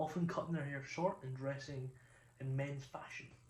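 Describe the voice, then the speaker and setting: A man speaks with a Scottish accent at a moderate pace. His voice is somewhat breathy, and there is audible room echo. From Scotland. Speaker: video essayist. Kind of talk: reading a script with asides. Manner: halting, stumbles over pronunciation.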